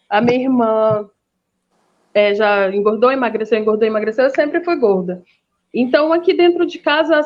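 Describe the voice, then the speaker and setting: This woman's high voice moves at a moderate pace with very wide swings in pitch. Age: 30s. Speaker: master's student, debate guest. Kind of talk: online panel discussion. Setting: live stream video call.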